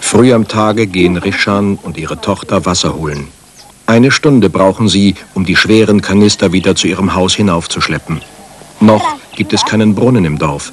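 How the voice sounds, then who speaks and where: A man at a fairly low pitch with ordinary pitch variation and a moderate pace, set against noticeable background noise. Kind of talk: 1989 German TV documentary narration. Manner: measured, formal, authoritative documentary voice-over; even, steady pace, solemn, newsreader-like.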